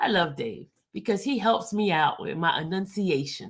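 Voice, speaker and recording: A woman speaks at a fairly slow pace with vocal fry. Her tone is bright and sharp. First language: French or Spanish. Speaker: YouTube commentator on a criminal trial. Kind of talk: casual livestream chat reading viewer comments. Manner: stumbles over words.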